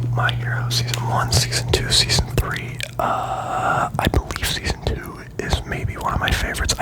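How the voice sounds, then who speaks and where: Whispering in a relaxed tone at a moderate pace with hardly any pauses, the voice comes through over noticeable background noise. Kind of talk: whispered ASMR ramble about anime, casual talk. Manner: whispered, rambling, relaxed.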